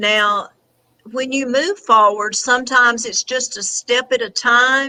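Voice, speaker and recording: Bright and sharp in tone, a woman with a Southern US accent speaks at a high pitch and a fairly slow pace, with ordinary pitch variation. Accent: Southern US twang. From Tennessee. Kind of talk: interview answer.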